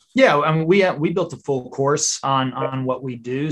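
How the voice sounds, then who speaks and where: This is a man talking. His pitch sits fairly high. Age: 40s. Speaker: real estate agent and YouTuber. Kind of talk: interview.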